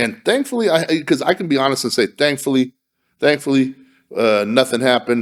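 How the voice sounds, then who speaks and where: A man talks in an animated tone at a medium pitch. His pace is fairly quick, with ordinary pitch variation. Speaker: podcast co-host. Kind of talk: casual chat. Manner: loud.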